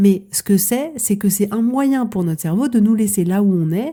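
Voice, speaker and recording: A woman's somewhat breathy voice, dark and mellow in tone, carries lively intonation. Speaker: coach. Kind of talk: podcast monologue. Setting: podcast.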